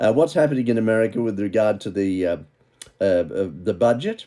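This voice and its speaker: Lively in intonation and fairly quick in pace, a man talks with a dark, mellow tone. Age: 80s+. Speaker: political commentator. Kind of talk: news commentary monologue. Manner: animated.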